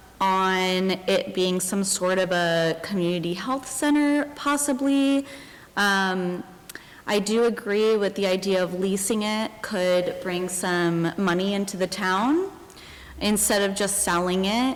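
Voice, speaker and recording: Soft-spoken and very slow, a woman talks at medium pitch with very even loudness. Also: ordinary pitch variation. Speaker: resident speaking at public comment. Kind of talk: public comment at town meeting. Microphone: too quiet, hard to hear.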